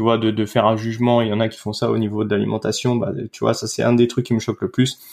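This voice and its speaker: With fairly even intonation and a medium pitch, a man speaks at a moderate pace. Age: 30s. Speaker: dietitian. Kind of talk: casual interview. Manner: hesitant, many fillers.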